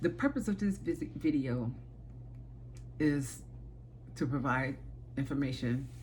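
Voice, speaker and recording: The woman talks at a moderate pace. She has an American accent. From Chicago, South Side. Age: 60s. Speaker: aspiring teacher, childcare worker. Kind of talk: self-presentation video. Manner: halting, with fillers.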